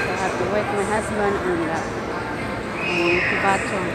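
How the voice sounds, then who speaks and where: There is loud background noise, but the sound is dry with no echo. A woman speaks at a moderate pace. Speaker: vlogger. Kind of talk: casual vlog chat. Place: shop. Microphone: phone near.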